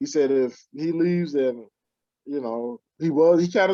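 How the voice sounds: At a fairly slow pace, a man with a fairly high pitch speaks in a dark, mellow tone with fairly even intonation.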